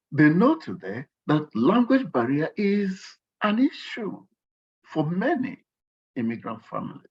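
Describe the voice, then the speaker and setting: A man speaks at a high pitch, with very wide pitch swings. His pace is fairly slow, broken by long, frequent pauses. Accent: strong Nigerian. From Nigeria. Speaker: workshop guest speaker. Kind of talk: workshop talk. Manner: animated.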